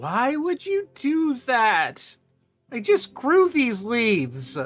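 A man in a put-on character voice speaks at a very slow pace, extremely high-pitched and swinging very widely in pitch, with faint music in the background. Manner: indignant.

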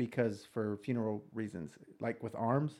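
A man with a Texas accent talks over a quiet background. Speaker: police officer podcast host. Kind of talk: casual chat.

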